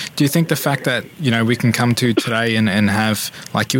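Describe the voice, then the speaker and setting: A man with an Australian accent, medium pitch and ordinary pitch variation, at a fairly quick pace, over noticeable background noise. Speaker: radio host.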